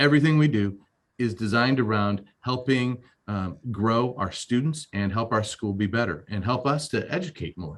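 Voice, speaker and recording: This voice is a normal speaking voice with ordinary pitch variation at a moderate pace. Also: man. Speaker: school administrator and pastor. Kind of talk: webinar presentation.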